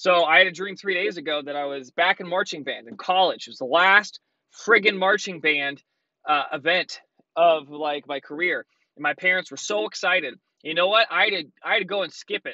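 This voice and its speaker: Against a quiet background, a man with a high voice talks fairly quickly, his loudness swinging widely while his pitch varies in an ordinary way, and the sound is dry with no echo. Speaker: vlogger. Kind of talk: casual vlog chat. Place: car. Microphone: phone near.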